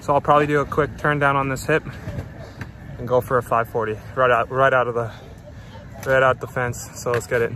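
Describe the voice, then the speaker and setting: Monotone, flat intonation from a man speaking at a fairly quick pace with long, frequent pauses. The sound is dry with no echo, over light background noise. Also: medium pitch for a man. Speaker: BMX rider vlogger. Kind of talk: casual vlog. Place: open country. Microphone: phone near.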